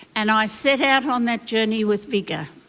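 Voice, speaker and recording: With an Australian accent, a woman speaks at a fairly high pitch. Her pitch varies in an ordinary way. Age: 80s+. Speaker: former missionary and pastor. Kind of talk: panel discussion answer. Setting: church stage.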